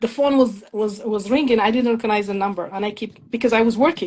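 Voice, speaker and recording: Speaking at a very fast pace with a slight French accent, a woman has a fairly high, somewhat breathy voice and ordinary pitch variation. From Morocco, small town near Khouribga. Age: 50s. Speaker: immigrant sharing life story. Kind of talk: interview testimony.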